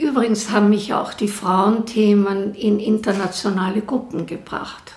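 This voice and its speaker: A woman talks at a fairly slow pace in a fairly high pitch, her intonation fairly even. Room echo is audible. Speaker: professor. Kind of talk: interview.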